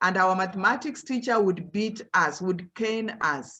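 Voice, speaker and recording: With a Kenyan accent, a woman is talking. Her pitch varies in an ordinary way. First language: Luhya. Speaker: professor. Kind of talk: motivational talk to students.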